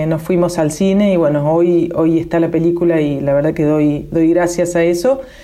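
A woman's fairly low-pitched voice comes through noticeable background noise. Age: 50s. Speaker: musician and filmmaker. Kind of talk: interview.

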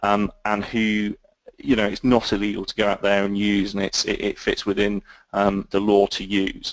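Moderate pace and monotone, flat intonation in a British accent. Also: man, fairly low pitch for a man. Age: 30s. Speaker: intelligence analyst and author. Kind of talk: interview. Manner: halting, many fillers.

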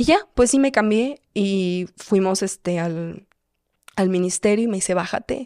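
This woman talks at a fairly slow pace and a medium pitch, her tone dark and mellow. Her pitch varies in an ordinary way, and the sound is dry and close with no echo. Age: 20s. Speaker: content creator. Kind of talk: personal testimony in casual chat.

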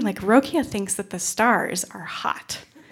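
An animated woman with an American accent speaks at medium pitch with lively intonation on a very clean recording with a silent background. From upstate New York. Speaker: storyteller, former Peace Corps volunteer. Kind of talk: live storytelling. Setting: stage with audience.

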